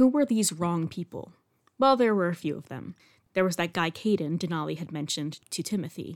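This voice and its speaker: A woman with a fairly low pitch and an ordinary speaking voice talks at a fairly quick pace, with lively intonation and big swings in loudness. The recording is very clean, with a silent background. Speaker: podcast host and true-crime narrator. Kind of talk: true-crime narration, scripted storytelling. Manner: measured, serious storyteller pace with dry, wry asides; clear and even, sombre on violent details.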